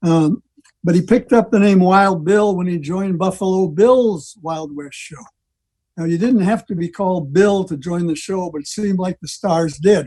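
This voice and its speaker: This man talks at a moderate pace in an American accent, his pitch high with ordinary variation. His tone is dark and mellow. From northern Wisconsin. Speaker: old-time radio presenter. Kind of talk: club presentation over video call. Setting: video call.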